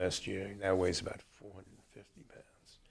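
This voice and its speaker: This man has an American accent and a very deep, low pitch in a monotone, flat delivery. Noticeable background noise is present. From New York, Brooklyn. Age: 80s+. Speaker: retired lawyer. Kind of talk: interview about his life.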